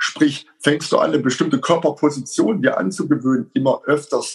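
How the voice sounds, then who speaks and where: Somewhat breathy speech with very wide pitch swings. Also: man. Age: 50s. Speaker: self-defense instructor and coach. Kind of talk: casual interview.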